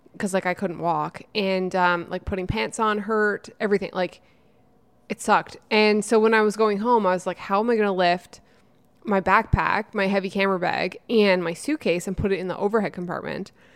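A woman with an unremarkable speaking voice talks at a moderate pace and medium pitch, on a very clean recording with a silent background. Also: fairly even intonation. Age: 30s. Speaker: YouTuber and podcast co-host. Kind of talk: casual chat.

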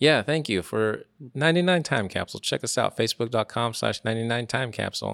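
The man has an unremarkable speaking voice, talking at a fairly quick pace with ordinary pitch variation in a dry, close sound with no echo. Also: medium pitch for a man. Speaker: podcast host. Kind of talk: casual chat. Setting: bar lounge.

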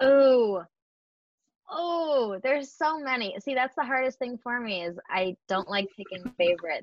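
A woman speaks slowly, with a fairly unhurried pace and a high pitch. Her American accent carries very wide pitch swings. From US Northeast, Buffalo, New York. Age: 20s. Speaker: community founder and entrepreneur. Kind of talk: casual interview chat.

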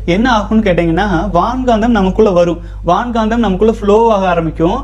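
Against noticeable background noise, a man with a high pitch speaks with ordinary pitch variation. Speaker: celibacy coach. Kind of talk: advice talk with listener questions. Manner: reading aloud listener letters.

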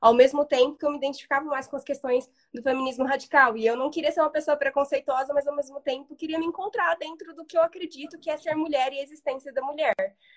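A woman talks at a very fast pace in a high pitch with fairly even intonation. The sound is dry and close, with no echo. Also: hardly any pauses, big swings in loudness. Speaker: follower joining the live. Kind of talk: casual live conversation. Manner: hesitant.

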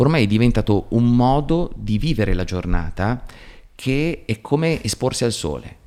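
With lively intonation, the man's voice carries a dark, mellow tone. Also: medium pitch for a man, moderate pace. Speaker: psychotherapist. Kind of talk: casual chat.

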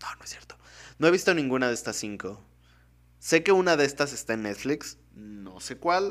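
Pitched fairly high, the man's voice makes very wide pitch swings. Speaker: film podcast host. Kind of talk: casual solo commentary.

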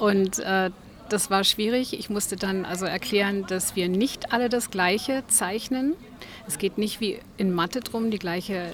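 Over noticeable background noise, a woman talks at a fairly slow pace. Her medium pitch has ordinary variation. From Germany, Berlin. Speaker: artist, studio owner. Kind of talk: interview.

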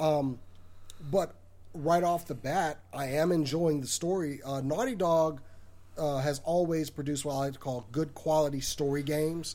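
Here a man with a fairly high pitch has a dark, mellow tone. He speaks at a moderate pace with ordinary pitch variation. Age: 40s. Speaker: owner and host of a gaming and fan media channel. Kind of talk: casual chat. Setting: internet call.

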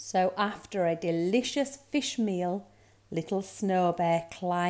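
The unforced reading voice rises and falls with ordinary pitch variation.

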